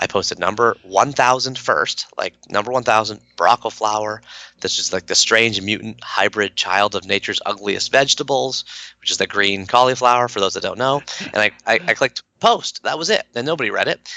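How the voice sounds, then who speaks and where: A man's medium-pitched, bright, sharp voice with a slight Canadian accent, fairly quick pace and ordinary pitch variation, in a dry, close sound with no echo against a quiet background. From Canada. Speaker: author and blogger. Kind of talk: podcast interview. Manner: casual, filler-heavy.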